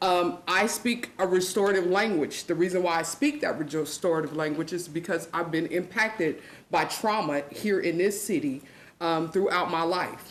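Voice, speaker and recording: A woman with a fairly low pitch and ordinary pitch variation speaks amid audible room echo. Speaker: public commenter, juvenile corrections worker. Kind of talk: public comment at council meeting. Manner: fast.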